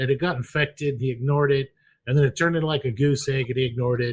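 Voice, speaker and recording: A man talks very fast in a somewhat breathy voice against a quiet background. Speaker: podcast co-host. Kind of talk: casual chat.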